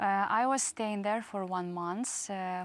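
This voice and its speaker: A woman talks at a medium pitch on a very clean recording with a silent background. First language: Russian or Ukrainian. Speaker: war refugee. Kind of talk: interview testimony. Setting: studio. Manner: halting, many hesitations.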